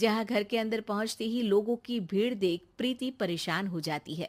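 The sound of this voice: The pace here is fairly slow. Pitch varies in an ordinary way. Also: woman.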